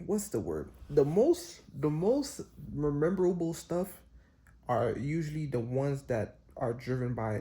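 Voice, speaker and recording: This man has a somewhat breathy, dark, mellow voice pitched fairly high. His intonation is lively and his pace moderate. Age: 20s. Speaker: vlogger. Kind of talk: casual monologue. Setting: hotel room. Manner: halting.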